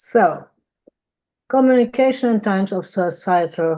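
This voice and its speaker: A woman's dark, mellow, medium-pitched voice in a strong German accent, very slow in pace but lively in intonation. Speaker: psychotherapist. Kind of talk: conference lecture. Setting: video call.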